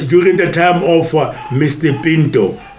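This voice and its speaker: A man speaking at a very slow pace, with noticeable background noise and audible room echo. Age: 70s. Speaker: retired golfer and teacher. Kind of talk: interview testimony. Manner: hesitant, many fillers.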